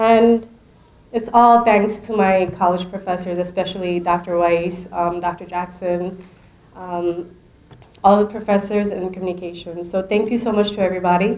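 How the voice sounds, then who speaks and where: A woman speaks at a moderate pace in a medium pitch, her intonation flat and monotone. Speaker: student award recipient. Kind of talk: acceptance speech.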